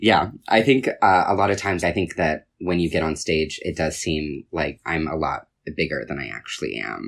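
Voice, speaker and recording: His pitch is very deep and low, with vocal fry running through it. The man's intonation is lively, and he hardly pauses at all. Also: moderate pace. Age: 20s. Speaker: slam poet. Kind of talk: interview.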